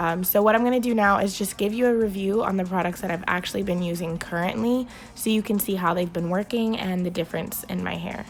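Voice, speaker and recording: Here a woman speaks at a very fast pace. Her pitch is medium and her intonation fairly even. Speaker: beauty vlogger. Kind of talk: product review vlog. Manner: casual, many filler ums.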